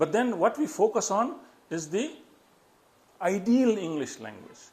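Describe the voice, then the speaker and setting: This man speaks at a high pitch with a Nepali accent. His intonation is lively. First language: Newari. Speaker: public speaking trainer. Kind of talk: educational talk.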